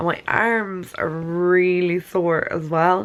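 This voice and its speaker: A woman with an Irish accent at a very slow pace. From Ireland. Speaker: beauty vlogger and nutritionist. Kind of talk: casual talk to camera.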